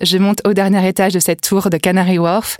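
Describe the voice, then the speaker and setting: A woman talks in an unremarkable speaking voice at a fairly quick pace. Her pitch sits fairly low, and the sound is dry and close with no echo. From Brittany, France (Vannes). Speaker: entrepreneur. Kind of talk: interview.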